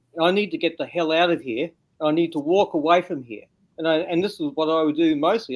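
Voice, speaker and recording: A man with a high voice at a fairly quick pace. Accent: Australian. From Australia. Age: 60s. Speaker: interview guest, bigfoot witness. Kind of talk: interview testimony.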